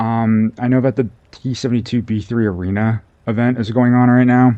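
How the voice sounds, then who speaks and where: A soft-spoken man talks at a moderate pace in a medium pitch, his dark, mellow tone carried by fairly even intonation. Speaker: gaming video creator. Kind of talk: gameplay commentary. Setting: at home late at night. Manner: soft-spoken, talking quietly; halting, many fillers.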